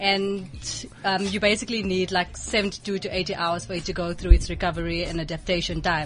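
A woman with a medium pitch speaks at a moderate pace amid noticeable background noise. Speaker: fitness trainer. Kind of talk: casual radio interview.

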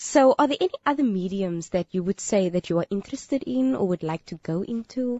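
Her pitch medium but swinging very widely, a woman talks at a fairly quick pace with hardly any pauses. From Kenya. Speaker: radio host. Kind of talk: scripted health segment reading; casual radio chat. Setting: radio studio.

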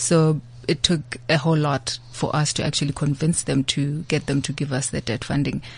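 Breathing somewhat audibly, a woman speaks at a very deep, low pitch and a moderate pace in a monotone, flat intonation. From South Africa, rural KwaZulu-Natal. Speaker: investment executive. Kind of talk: interview. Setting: studio.

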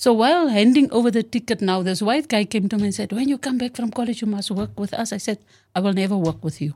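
A woman's very fast, somewhat breathy speech in a fairly high pitch and a dark, mellow tone, on a very clean recording with a silent background. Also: lively intonation. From South Africa, Western Cape (George). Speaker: retired police officer. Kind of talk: interview, personal life story.

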